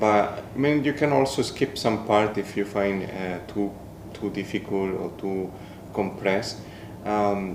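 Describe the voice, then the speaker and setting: A fairly low-pitched man at a fairly slow pace, with audible room echo and noticeable background noise. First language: Spanish. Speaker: podcast co-host. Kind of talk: casual chat. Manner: halting.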